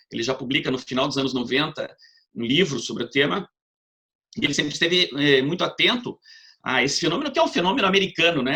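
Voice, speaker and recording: A man speaks very fast in a southern Brazilian accent, his pitch fairly high. His tone is bright and sharp, and his intonation is lively. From southern Brazil, Paraná. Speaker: law professor. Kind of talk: lecture. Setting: video call.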